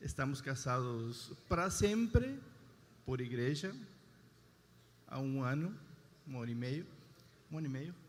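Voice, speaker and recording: A man with an Argentine accent at medium pitch, with ordinary pitch variation, a fairly slow pace, and long, frequent pauses. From Argentina. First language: Spanish (speaking Portuguese). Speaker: husband giving testimony. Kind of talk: testimony.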